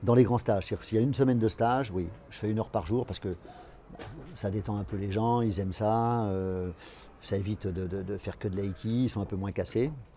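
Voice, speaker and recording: Fairly quick speech from a man with a fairly low pitch, a dark, mellow tone and ordinary pitch variation. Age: 60s. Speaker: aikido teacher. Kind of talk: interview. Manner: halting, many repetitions and fillers.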